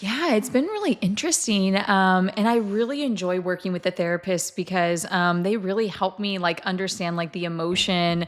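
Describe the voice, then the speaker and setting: A woman at medium pitch with ordinary pitch variation, moderate pace and hardly any pauses, on a very clean recording with a silent background. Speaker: dietitian. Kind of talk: casual chat. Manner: loud; talkative.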